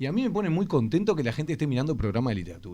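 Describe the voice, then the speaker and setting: His tone is dark and mellow. This man's pitch swings very widely. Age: 30s. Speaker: education official. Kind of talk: radio interview.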